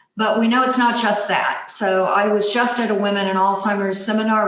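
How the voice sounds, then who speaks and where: Noticeable background noise and audible room echo fill the clip. A woman speaks in a monotone, flat intonation. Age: 60s. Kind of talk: presentation.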